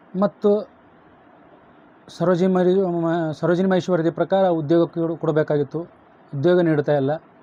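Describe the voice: Talking at a fairly quick pace, a man has a fairly high pitch. His tone is dark and mellow, with little pitch movement.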